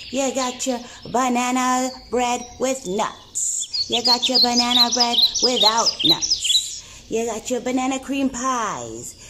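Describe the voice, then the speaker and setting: A female-sounding cartoonish character voice speaks at a fairly slow pace over loud background noise. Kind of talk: comedic vlog-style puppet monologue. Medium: puppet show. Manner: bubbly, excitable.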